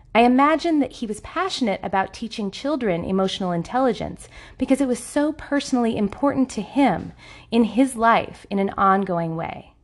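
A woman with a plain, everyday voice speaks at a fairly quick pace with lively intonation. Her pitch is fairly high, and the background is quiet. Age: 40s. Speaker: podcast host and relationship coach. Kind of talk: solo podcast monologue.

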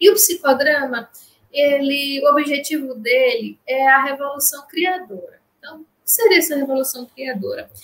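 Her pitch is high and her pitch variation ordinary, as this woman talks at a moderate pace with big swings in loudness. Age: 30s. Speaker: clinical psychologist. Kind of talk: interview.

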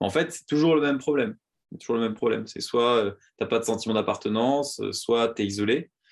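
Over a quiet background, the speech comes at a very fast pace with ordinary pitch variation and big swings in loudness. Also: man, medium pitch for a man. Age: 20s. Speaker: startup co-founder. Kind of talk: interview conversation. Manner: halting, many repeated words and fillers.

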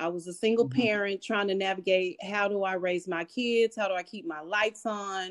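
A woman speaks at a fairly quick pace with hardly any pauses, medium pitch and ordinary pitch variation, in an unremarkable speaking voice. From Austin, Texas. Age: 50s. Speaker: author and mental health advocate. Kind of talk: interview.

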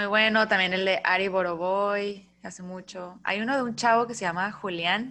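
On a very clean recording with a silent background, a woman speaks in a bright, sharp tone with fairly even intonation. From northern Mexico, Mexicali. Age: 30s. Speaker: podcast host. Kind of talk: casual chat.

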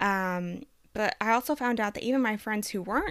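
On a very clean recording with a silent background, a woman in a normal speaking voice talks at a moderate pace. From Texas, US (born in Colombia, moved at five). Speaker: podcast co-host. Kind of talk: casual interview chat.

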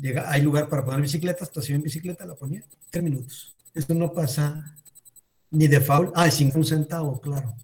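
A man with a fairly high pitch speaks at a moderate pace. His voice is somewhat breathy, with fairly even intonation. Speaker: youth club organizer. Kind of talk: casual chat moderating Q&A.

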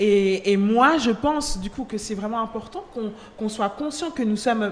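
Fairly slow speech from a woman with a fairly high pitch, over noticeable background noise. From Switzerland (Geneva), Nigerian-Angolan family. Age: 20s. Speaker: trainee lawyer and worship singer. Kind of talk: casual chat.

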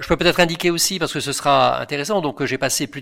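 On a very clean recording with a silent background, a man speaks with vocal fry and a bright, sharp tone. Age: 60s. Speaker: retired engineer, mobility expert. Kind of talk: interview.

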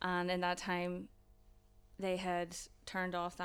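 On a very clean recording with a silent background, a woman with a Northern Irish accent and a fairly low pitch speaks at a moderate pace. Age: 20s. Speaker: student mental health nurse. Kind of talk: casual chat, personal testimony.

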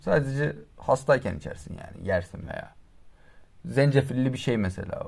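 Loudness rises and falls sharply as this man talks. He keeps a moderate pace. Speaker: podcast co-host. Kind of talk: casual chat. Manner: louder than usual.

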